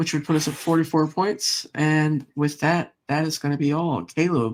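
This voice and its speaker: A man with a plain, everyday voice, fairly high pitch, and fairly even intonation talks at a moderate pace in a very clean recording with a silent background. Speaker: sports YouTuber. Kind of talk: casual sports chat.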